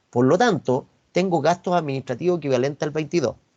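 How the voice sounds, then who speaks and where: A man with a Chilean accent talks at a fairly quick pace. His tone is dark and mellow, and the sound is dry and close with no echo. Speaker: university finance professor. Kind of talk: online lecture. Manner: fast.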